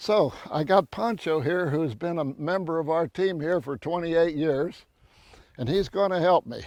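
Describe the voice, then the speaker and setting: Over a quiet background, a man with a Texas accent speaks at a high pitch. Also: ordinary pitch variation, moderate pace. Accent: Texas Southern US. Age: 90s. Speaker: rancher and conservationist. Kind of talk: outdoor tree-planting demonstration. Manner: folksy, conversational.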